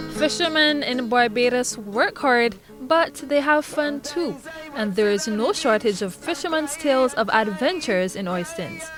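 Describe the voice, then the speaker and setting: A woman speaks fairly slowly in a high voice with very wide pitch swings, against noticeable background noise. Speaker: news reporter. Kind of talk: news report narration.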